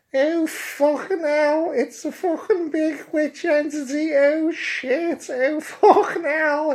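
The delivery is a put-on character voice. It moves at a slow pace with fairly even intonation. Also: man, extremely high pitch for a man.

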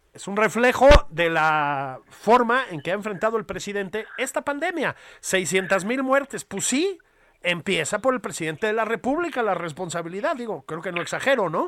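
Speaking at a moderate pace with a Mexican accent, a man uses a high pitch and very wide pitch swings on a very clean recording with a silent background. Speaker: political podcast co-host. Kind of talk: casual satirical political chat.

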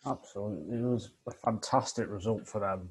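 The voice is a man's, medium-pitched and somewhat breathy. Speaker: F1 podcast co-host. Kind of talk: casual chat.

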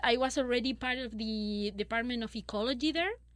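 A woman's fairly high voice with a Spanish accent. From Chile. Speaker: paleoecologist. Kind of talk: interview.

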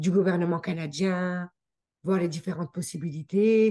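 Very slowly, a woman speaks at a fairly low pitch in a dark, mellow tone with fairly even intonation. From France, near the Swiss border (Haute-Savoie). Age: 40s. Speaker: immigrant guest sharing her story. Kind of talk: casual interview.

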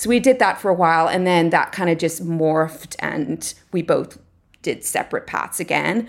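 A woman talks in an Irish accent at a moderate pace. Her voice is fairly low-pitched, with ordinary pitch variation. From Ireland. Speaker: artist. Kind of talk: interview.

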